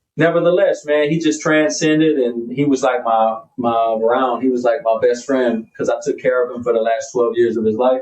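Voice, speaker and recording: A man with an American accent speaks at a moderate pace in an unremarkable speaking voice, his medium pitch rising and falling in ordinary ways. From US South, Pensacola, Florida area. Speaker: hip hop artist. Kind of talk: casual chat. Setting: studio.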